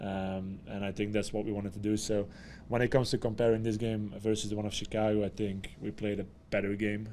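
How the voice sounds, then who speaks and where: Talking very fast, a man keeps his fairly low voice in a monotone, flat line. Audible room echo is present. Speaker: football head coach. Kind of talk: post-match press conference.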